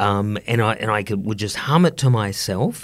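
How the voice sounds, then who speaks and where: At a moderate pace, a man talks in an Australian accent. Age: 50s. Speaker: economics professor. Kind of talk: casual interview.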